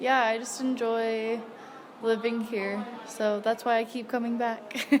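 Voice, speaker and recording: A woman with an American accent, fairly high-pitched and relaxed in tone, amid audible room echo and noticeable background noise. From United States. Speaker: English teacher and volunteer. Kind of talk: interview. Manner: casual, relaxed.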